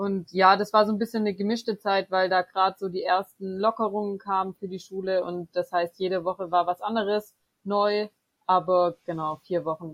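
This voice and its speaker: At a moderate pace, a woman of medium pitch speaks in a flat monotone. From Swabia, Germany (Böblingen near Stuttgart). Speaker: theology student and student tutor. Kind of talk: interview.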